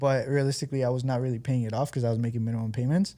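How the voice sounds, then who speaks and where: A man speaks with a dark, mellow tone and fairly even intonation. The recording is very clean, with a silent background. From Guatemala, moved to California at 15. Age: 30s. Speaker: entrepreneur. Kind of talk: podcast interview. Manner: casual, with many fillers.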